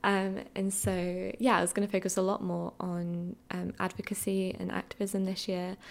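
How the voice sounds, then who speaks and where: Talking at a moderate pace, a woman has an Essex accent. She leaves hardly any pauses. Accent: southern English (Essex). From Essex, England. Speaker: podcast host, film writer. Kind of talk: solo casual chat.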